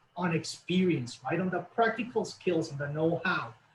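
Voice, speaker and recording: A man speaks with a Latin American accent. His voice carries that accent throughout. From Colombia. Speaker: college representative. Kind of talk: webinar interview.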